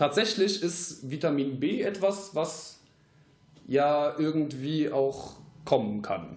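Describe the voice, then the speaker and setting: Very slow in pace, a man talks with fairly high pitch and ordinary pitch variation. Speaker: aspiring voice actor. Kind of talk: casual chat. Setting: home podcast studio.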